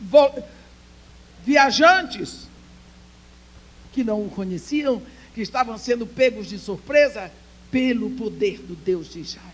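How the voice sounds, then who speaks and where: Her intonation is lively as the woman talks in a high voice at a very slow pace. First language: English (speaking Portuguese). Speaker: speaker at women's church conference. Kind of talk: sermon.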